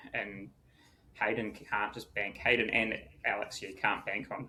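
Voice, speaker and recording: A fairly low-pitched man at a moderate pace with a New Zealand accent. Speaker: triathlon podcast co-host. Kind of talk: casual chat.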